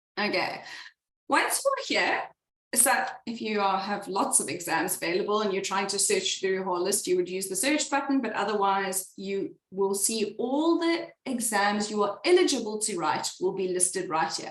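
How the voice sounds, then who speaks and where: With lively intonation, a woman speaks at a moderate pace amid audible room echo. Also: medium pitch for a woman. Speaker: exam tutor. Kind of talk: webinar tutorial.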